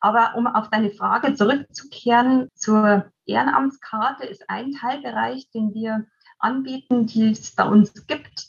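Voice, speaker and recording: Somewhat breathy, the speech unfolds at a fairly slow pace. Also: woman. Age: 40s. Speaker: volunteer coordinator. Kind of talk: interview.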